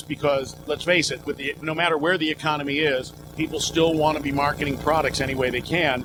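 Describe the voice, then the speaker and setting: There is noticeable background noise as a man speaks with hardly any pauses. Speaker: professional voice talent, announcer. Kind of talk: casual interview answer. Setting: trade show interview. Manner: upbeat, playful.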